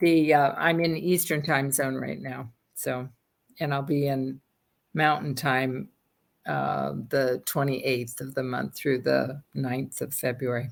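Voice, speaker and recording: The speaker talks at a very slow pace with vocal fry. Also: woman, very deep, low pitch for a woman, fairly even intonation. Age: 70s. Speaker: workshop participant. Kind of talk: casual chat.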